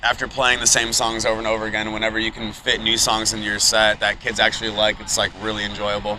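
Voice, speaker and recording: A man races along at a very fast pace while noticeable background noise carries on behind him. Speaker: band screamer and keyboardist. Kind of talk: casual interview. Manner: halting, many fillers.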